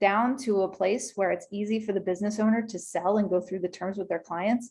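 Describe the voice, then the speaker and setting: This woman has an unremarkable speaking voice, a medium pitch and fairly even intonation. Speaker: small business attorney. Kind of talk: webinar presentation. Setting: video call.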